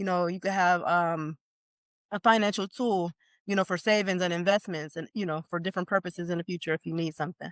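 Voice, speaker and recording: A woman talks very fast in a fairly low pitch, with a slight Jamaican accent and fairly even intonation. The sound is dry and close with no echo, and the background is quiet. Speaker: life insurance expert. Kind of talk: informal masterclass presentation. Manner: casual, conversational.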